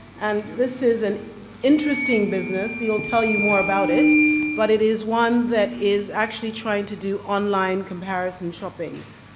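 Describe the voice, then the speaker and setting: Amid audible room echo and noticeable background noise, a woman talks at a fairly high pitch and moderate pace with ordinary pitch variation. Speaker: panel moderator. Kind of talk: moderating a panel at a forum. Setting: stage with audience.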